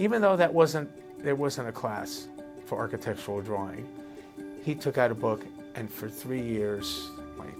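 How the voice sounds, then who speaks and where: Over music in the background, a man with a fairly low pitch speaks at a moderate pace, with very wide pitch swings and long, frequent pauses. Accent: New Jersey. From New Jersey, USA. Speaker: architect and urban planner. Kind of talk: interview answer.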